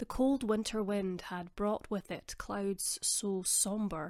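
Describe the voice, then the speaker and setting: The speaker has a Scottish accent and a fairly slow pace. Intonation stays fairly even on a very clean recording with a silent background. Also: woman. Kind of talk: audiobook reading. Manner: soft-spoken.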